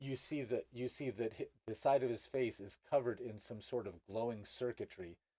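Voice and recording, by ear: Someone reads aloud in a natural voice, and the pitch varies in an ordinary way.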